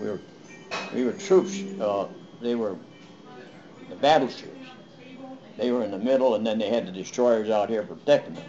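A man at a moderate pace with very wide pitch swings, big swings in loudness, long, frequent pauses and music in the background. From United States. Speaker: war veteran. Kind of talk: interview answer. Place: home room. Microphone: webcam.

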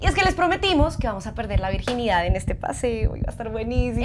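A woman speaks at a very fast pace. Her pitch is high. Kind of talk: scripted comedy dialogue. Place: kitchen.

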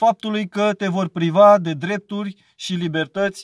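A man speaks at a high pitch and a fairly slow pace. The sound is dry with no echo, over a quiet background. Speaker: speaker. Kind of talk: religious exhortation, preaching vlog. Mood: earnest, warning. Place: car. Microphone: phone near.

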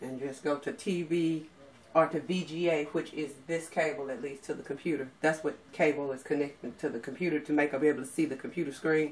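A woman speaks with a very deep, low pitch. Her intonation stays fairly even. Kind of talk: tutorial. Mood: pleased, light laughter. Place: home room. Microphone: camera far.

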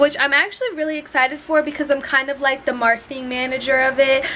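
A woman speaks in a raised, projected voice at a very fast pace, her intonation monotone and flat, with light background noise. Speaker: vlogger. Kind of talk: casual vlog chat. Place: home room. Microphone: phone near.

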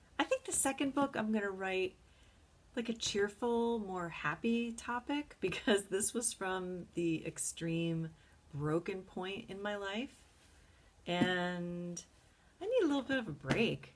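The woman sounds somewhat breathy and speaks at a fairly slow pace. Her intonation is lively. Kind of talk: casual vlog chat. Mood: excited, moved, amazed. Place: home room. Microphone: webcam.

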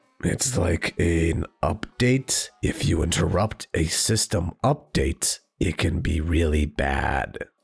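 A man's put-on character voice, very deep and raspy, at a very slow pace with hardly any pauses and music in the background. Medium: role play.

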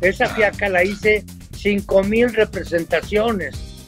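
Faint music plays in the background. The pace is fairly slow. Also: man. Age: 80s+. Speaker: comedian. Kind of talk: interview answer. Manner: casual, anecdotal.

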